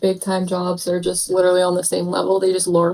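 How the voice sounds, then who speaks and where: A woman speaks at a very fast pace. Her tone is dark and mellow. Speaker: university student, viewer. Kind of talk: casual chat. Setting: live stream.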